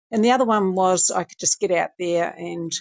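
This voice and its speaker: Speaking in a plain, everyday voice, a woman talks at a moderate pace and medium pitch with ordinary pitch variation. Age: 60s. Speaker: interview guest, older athlete. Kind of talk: casual interview.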